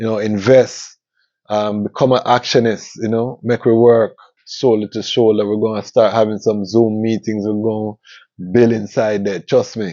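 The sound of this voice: A man talks at a moderate pace in a fairly low pitch. His tone is dark and mellow, with little pitch movement.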